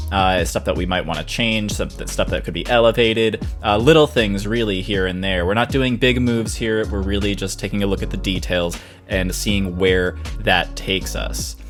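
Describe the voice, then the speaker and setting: A man with a very deep, low voice talks at a moderate pace with lively intonation while music plays in the background. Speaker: composer. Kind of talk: casual screen-recording commentary.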